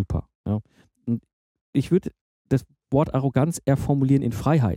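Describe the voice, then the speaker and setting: At a moderate pace, a man speaks with a medium pitch and ordinary pitch variation, the sound dry and close with no echo. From Germany, Ruhr area (Herdecke). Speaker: podcast host. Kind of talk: interview conversation.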